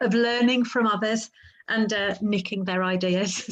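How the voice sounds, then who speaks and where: With an English Midlands accent, a woman talks at a fairly high pitch in a monotone, flat intonation. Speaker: webinar host. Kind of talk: webinar moderation. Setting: online webinar.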